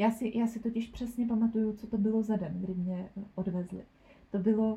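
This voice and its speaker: The voice is somewhat breathy and dark, mellow in tone, delivered with monotone, flat intonation. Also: woman. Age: 20s. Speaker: nursery school teacher. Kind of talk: personal testimony interview. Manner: halting, many fillers.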